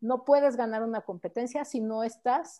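A woman speaks in a high voice with a dark, mellow tone and ordinary pitch variation. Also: quiet background. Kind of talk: interview.

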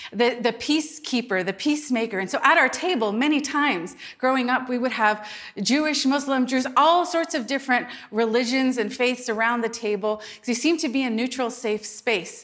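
A woman speaks in an animated tone at a moderate pace, her pitch high. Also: ordinary pitch variation. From Lebanese family background. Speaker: pastor. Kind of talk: sermon.

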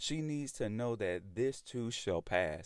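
Fairly slow speech from a man in a Southern US accent. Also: very clean recording, silent background. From US South. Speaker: podcast host. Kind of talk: solo podcast monologue. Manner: casual, conversational.

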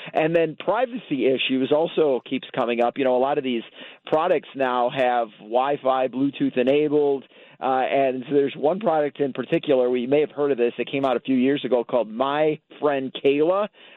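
A man with an American accent speaks at a moderate pace in a fairly high pitch. He has a normal speaking voice, very even loudness and ordinary pitch variation. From Chicago. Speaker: toy expert correspondent. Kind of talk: radio interview. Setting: phone call.

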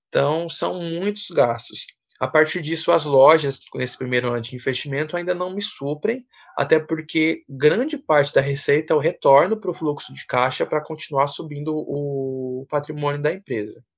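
At a moderate pace, a man speaks in a plain, everyday voice with a fairly high pitch and ordinary pitch variation. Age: 20s. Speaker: missionary and entrepreneur. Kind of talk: casual chat.

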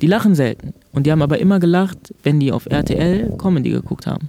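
A man's dark, mellow voice, fairly high in pitch, with ordinary pitch variation and a fairly quick pace. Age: 20s. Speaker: stand-up comedian. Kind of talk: interview.

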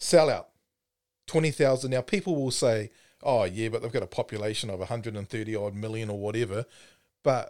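A man speaks with a New Zealand accent. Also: very clean recording, silent background. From New Zealand, Timaru. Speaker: rugby podcast co-host. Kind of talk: casual chat. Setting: studio.

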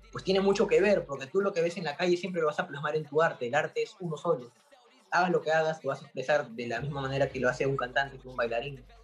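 Noticeable background noise sits behind a man talking at a very fast pace. His pitch is fairly high, with ordinary variation. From Peru. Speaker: graphic artist. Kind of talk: interview. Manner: casual.

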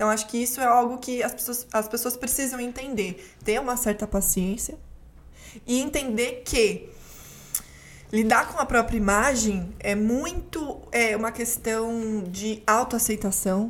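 A woman speaks at a fairly slow pace in a fairly high voice. She has an unremarkable speaking voice with ordinary pitch variation. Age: 20s. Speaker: actress, journalist and communication mentor. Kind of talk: casual interview chat.

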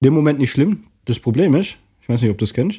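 A man talks at a fairly quick pace with lively intonation in a dark, mellow, somewhat breathy voice. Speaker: podcast co-host. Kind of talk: casual chat. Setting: living room, in person.

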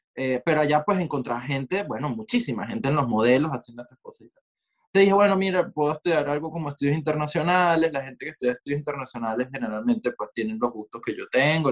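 This man speaks very fast, with hardly any pauses and lively intonation at a fairly high pitch. The sound is dry and close, with no echo. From Venezuela, Maracay. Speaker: multidisciplinary artist. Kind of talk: casual interview conversation.

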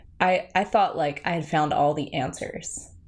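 With an American accent, a woman talks at a moderate pace in a very deep, low pitch. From New Jersey. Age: 30s. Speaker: meditation teacher. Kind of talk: casual interview chat.

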